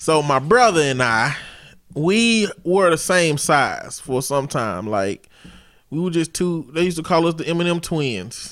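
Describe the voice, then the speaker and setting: This man speaks at a fairly slow pace in a normal speaking voice. His pitch is fairly high, with lively intonation. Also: very clean recording, silent background. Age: 30s. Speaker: podcast co-host. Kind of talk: casual chat.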